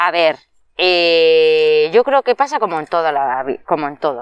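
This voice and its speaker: Very deep and low in pitch, a woman's voice proceeds at a fairly slow pace. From Madrid, Spain. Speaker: early childhood educator. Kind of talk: interview.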